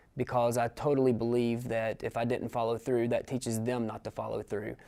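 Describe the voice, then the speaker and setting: A man's dark, mellow voice with an East Tennessee accent. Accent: Southern US (East Tennessee). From US South, East Tennessee. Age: 30s. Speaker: adult college student. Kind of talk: interview testimony. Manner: halting, many fillers.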